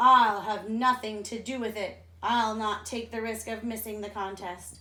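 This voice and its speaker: This is a put-on character voice. The intonation stays monotone and flat. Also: woman, fairly high pitch for a woman, moderate pace. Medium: read story. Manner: sneering.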